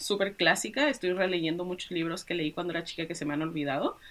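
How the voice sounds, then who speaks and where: A woman is speaking. Her tone is bright and sharp. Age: 20s. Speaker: author and web developer. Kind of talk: interview.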